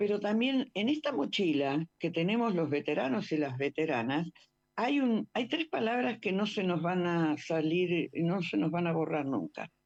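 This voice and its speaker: A woman speaks at a fairly slow pace in a fairly low pitch, with very wide pitch swings. Her loudness stays very even against a quiet background. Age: 70s. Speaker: war veteran and former nurse. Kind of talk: radio interview. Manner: halting, repeats words.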